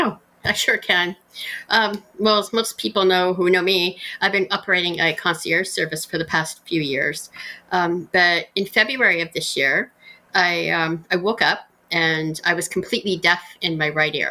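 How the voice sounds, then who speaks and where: A woman's fairly low voice, bright and sharp in tone, at a moderate pace. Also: ordinary pitch variation. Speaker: concierge business owner. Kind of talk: interview. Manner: sometimes loud, uneven volume.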